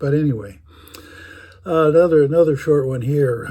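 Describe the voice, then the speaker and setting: A man with an American accent talks at a moderate pace over noticeable background noise. His fairly high voice shows ordinary pitch variation. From US Midwest, Chicago. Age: 80s+. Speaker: storyteller. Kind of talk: storytelling. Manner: halting, many fillers.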